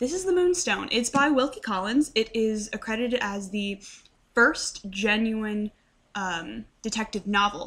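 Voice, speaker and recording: Speaking at a fairly slow pace, a woman with a fairly high voice uses lively intonation. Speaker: book vlogger. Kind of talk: casual vlog book review. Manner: animated.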